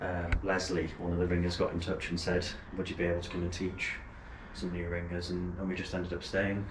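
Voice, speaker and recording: A man speaks in a very deep, low voice at a fairly quick pace. His intonation is monotone and flat, with audible room echo. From northern England, Wigan. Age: young. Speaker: church bell ringer and teacher. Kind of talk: casual explanatory chat. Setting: church bell tower.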